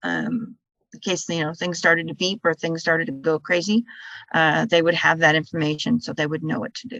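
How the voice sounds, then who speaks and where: Soft-spoken woman with a fairly low pitch and lively intonation, at a fairly quick pace, in a dry, close sound with no echo. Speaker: parent of a student with hearing loss. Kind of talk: panel discussion.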